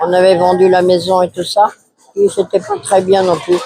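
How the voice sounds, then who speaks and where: High in pitch, a man speaks at a fairly slow pace. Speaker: nursing home resident. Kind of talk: testimony.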